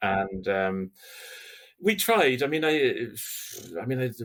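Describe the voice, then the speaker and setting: This is a man's voice. He has an Irish accent. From Ireland. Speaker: linguist and university lecturer. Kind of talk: interview conversation. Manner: hesitant, many repetitions.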